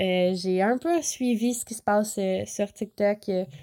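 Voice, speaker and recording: With a Quebec accent, a woman speaks in a fairly high voice with a dark, mellow tone and ordinary pitch variation. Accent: Québécois French. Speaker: podcast host. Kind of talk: casual chat. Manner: casual, many filler words.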